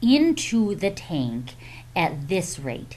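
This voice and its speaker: Audible room echo surrounds this woman's voice. She speaks with vocal fry. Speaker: math teacher. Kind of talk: tutorial. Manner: slow; hesitant, many fillers.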